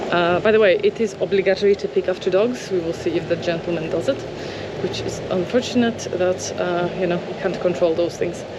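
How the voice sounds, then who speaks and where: Over noticeable background noise, a woman with a medium-pitched voice speaks at a fairly quick pace. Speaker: travel vlogger. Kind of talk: walking tour vlog. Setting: outdoors walking in a park. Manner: animated.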